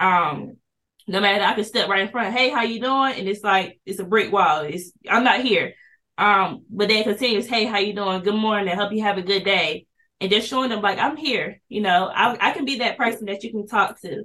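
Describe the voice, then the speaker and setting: In a plain, everyday voice, a woman speaks at a medium pitch and a moderate pace with ordinary pitch variation. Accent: American. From Kinston, eastern North Carolina. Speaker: police officer, school resource officer. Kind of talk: interview conversation.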